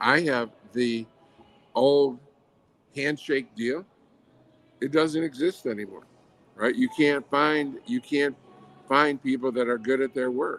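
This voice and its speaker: A man with an American accent speaks at a very slow pace with long, frequent pauses. His pitch is fairly high, with ordinary variation. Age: 70s. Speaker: franchise company founder and CEO. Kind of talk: podcast interview. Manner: halting.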